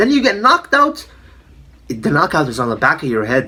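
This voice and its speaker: Animated and bright, sharp in tone, a man with a non-native accent talks at a fairly quick pace. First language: not English. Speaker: MMA commentator YouTuber. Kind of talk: casual opinion monologue.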